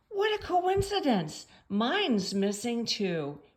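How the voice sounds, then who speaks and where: A woman puts on a character voice, pitched high and delivered at a fairly slow pace. Her pitch swings very widely, and hissing can be heard. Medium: read story.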